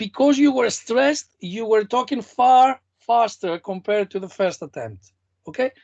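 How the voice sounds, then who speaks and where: The speaker has a non-native accent and keeps a moderate pace. The background is quiet. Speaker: competition mentor. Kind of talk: online workshop feedback. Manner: animated.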